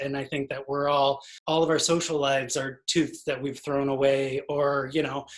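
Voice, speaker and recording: Over a quiet background, a man speaks with monotone, flat intonation. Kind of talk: interview answer. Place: home room. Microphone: video call.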